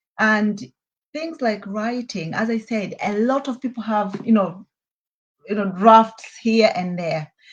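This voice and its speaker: The voice is somewhat breathy. It moves at a fairly slow pace with ordinary pitch variation. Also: woman, fairly high pitch for a woman. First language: Hehe. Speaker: children's book author. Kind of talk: interview.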